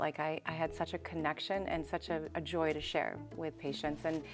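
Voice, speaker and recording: Over music in the background, a woman with an American accent speaks at a fairly quick pace in a fairly low pitch. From Boston, US. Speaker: health coach and dietitian. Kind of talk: interview. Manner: animated.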